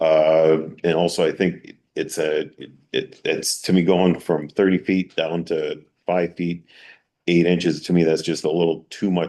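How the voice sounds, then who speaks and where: Against a quiet background, a man with a New York accent talks at a moderate pace in a very deep, low voice, his tone dark and mellow and his intonation flat and monotone. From New York, Long Island. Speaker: town board member. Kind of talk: public meeting deliberation. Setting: town board public hearing. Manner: halting.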